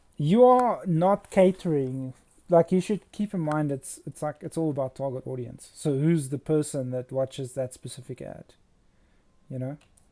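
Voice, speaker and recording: A man with a South African accent talks at a moderate pace in a fairly high, dark and mellow voice, with lively intonation. His loudness swings widely, and the sound is dry and close with no echo. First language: Afrikaans. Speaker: fantasy concept artist and illustrator. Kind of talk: casual livestream chat while painting. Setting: livestream.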